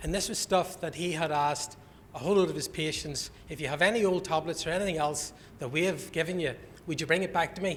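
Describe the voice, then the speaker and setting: A man with a Northern Irish accent talks very fast at a high pitch with fairly even intonation. Audible room echo surrounds his voice. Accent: Northern Irish (Belfast). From Northern Ireland, Belfast. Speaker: conference speaker, health alliance representative. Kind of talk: conference presentation. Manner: informal, joking.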